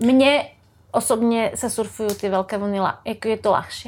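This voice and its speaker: A woman speaks in a normal speaking voice with a fairly high pitch and fairly even intonation. The recording is very clean, the background silent. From Slovakia. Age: 40s. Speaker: surfer. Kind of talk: casual chat.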